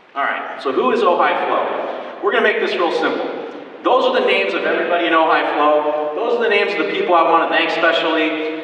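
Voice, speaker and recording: Over noticeable background noise and audible room echo, a man talks at a very fast pace in a high pitch with lively intonation. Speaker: community group organizer presenting at public meeting. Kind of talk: public presentation to audience. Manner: animated.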